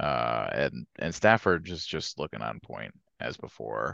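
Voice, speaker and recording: A man's tone comes across bright and sharp, with vocal fry. The sound is dry and close, with no echo. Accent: American. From Georgia, later northern US. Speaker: sports podcast co-host. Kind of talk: casual chat.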